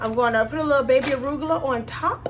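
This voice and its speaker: Amid noticeable background noise, a woman speaks at a high pitch with ordinary pitch variation. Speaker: cooking vlogger. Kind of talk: cooking tutorial. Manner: casual, chatty.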